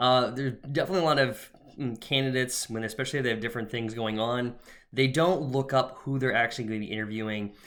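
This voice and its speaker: A man speaks at a very fast pace in a medium pitch. His intonation stays fairly even. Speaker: career coach. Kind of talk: tutorial. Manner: casual with fillers.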